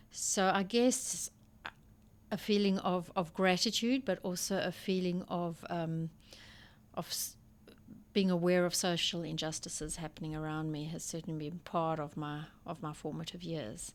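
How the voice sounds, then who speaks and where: Speaking in a South African accent, a woman has a fairly low pitch. Her pace is moderate and her pitch variation ordinary. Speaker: school principal. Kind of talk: interview conversation. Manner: halting.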